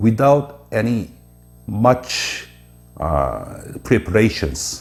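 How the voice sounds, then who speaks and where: A man with a Korean accent, medium pitch and lively intonation at a very slow pace. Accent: Korean accent, non-native English. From South Korea. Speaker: presenter explaining Korea. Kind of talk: informal lecture. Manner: halting with many filler uhs.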